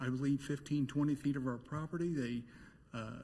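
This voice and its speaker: Somewhat breathy, a man speaks at a medium pitch. His intonation stays fairly even. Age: 60s. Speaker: resident speaking at public hearing. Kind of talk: public comment at city meeting.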